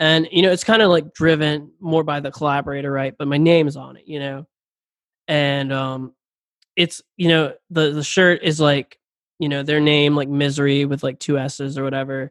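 In an American accent, a plain, everyday voice moves at a moderate pace with fairly even intonation and big swings in loudness. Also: man, fairly high pitch for a man. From Philadelphia. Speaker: musician. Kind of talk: casual chat.

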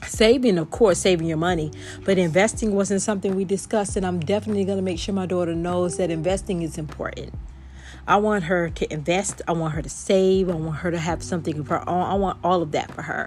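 Very fast and with vocal fry, a woman speaks at a fairly low pitch with ordinary pitch variation. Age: 40s. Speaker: podcast host. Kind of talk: casual solo monologue.

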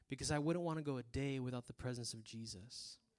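In a South Texas accent, a man talks in an animated tone with a fairly high pitch and ordinary pitch variation. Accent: South Texas Mexican-American English. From Rio Grande Valley, Texas. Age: 20s. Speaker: preacher. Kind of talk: sermon.

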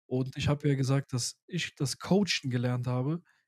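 Somewhat breathy and dark, mellow in tone, a man's fairly high voice sounds dry and close with no echo. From Germany, Pakistani heritage. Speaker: podcast host. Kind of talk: casual chat.

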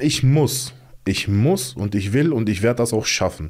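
A man with a dark, mellow tone speaks at a fairly slow pace on a very clean recording with a silent background. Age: 30s. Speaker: guest telling life story, former athlete. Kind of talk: personal testimony in casual interview.

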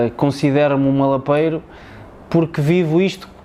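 At a moderate pace, a man speaks in a fairly high voice against noticeable background noise. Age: 20s. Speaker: footballer. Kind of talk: casual chat. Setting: stadium.

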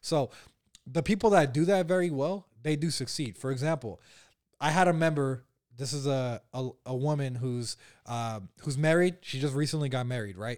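A fairly high-pitched man with an unremarkable speaking voice talks at a moderate pace with ordinary pitch variation, recorded very cleanly over a silent background. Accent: American. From US West Coast, San Francisco Bay Area. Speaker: e-commerce entrepreneur. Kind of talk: podcast interview.

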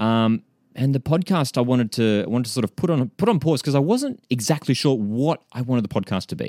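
An Australian-accented man at medium pitch, in a dry, close recording with no echo and a silent, very clean background. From Australia, Central Coast of New South Wales. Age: 20s. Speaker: football podcast host. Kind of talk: casual chat.

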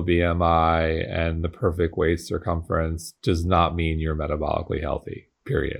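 With a very deep, low pitch, a man talks at a fairly slow pace. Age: 40s. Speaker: podcast host and company founder. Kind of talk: interview.

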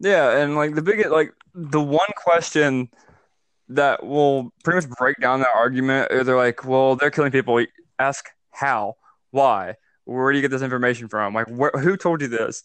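A man with an Alabama accent speaks at a moderate pace in a fairly high pitch with ordinary pitch variation. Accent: Southern US (Alabama). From US South, North Alabama. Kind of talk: casual political discussion.

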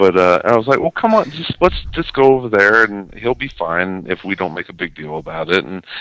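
At a fairly quick pace, a man with an ordinary speaking voice talks at a fairly low pitch with lively intonation. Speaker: podcast host. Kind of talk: casual chat.

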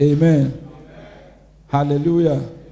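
Talking at a fairly slow pace, a man with a fairly high pitch is heard over noticeable background noise. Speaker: pastor. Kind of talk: sermon. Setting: church. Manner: animated.

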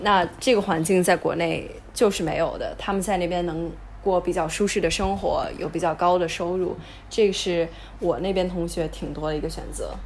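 Over noticeable background noise, a woman talks at a moderate pace. Her pitch is fairly low and her intonation fairly even. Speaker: university student and venture capital intern. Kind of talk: casual interview chat.

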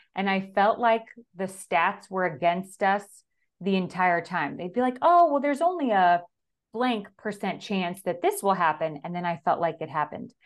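A woman with an ordinary speaking voice, medium pitch, ordinary pitch variation and a moderate pace, against a quiet background. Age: 30s. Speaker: stay-at-home mother. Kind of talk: casual interview.

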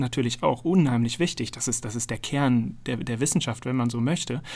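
A man talks in a plain, everyday voice at medium pitch and a moderate pace, with ordinary pitch variation. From Münster, North Rhine-Westphalia, Germany. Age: 30s. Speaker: science communicator and YouTuber. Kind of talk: interview.

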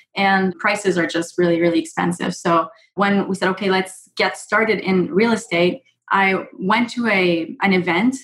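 Somewhat breathy, a woman of medium pitch talks at a moderate pace with ordinary pitch variation. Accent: Quebec. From Quebec, Montreal. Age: 30s. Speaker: real estate investor and nurse. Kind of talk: interview.

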